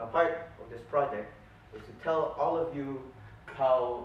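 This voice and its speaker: A man is speaking here. The room echo is audible, and background noise is noticeable. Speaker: toastmasters club speaker. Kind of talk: prepared speech.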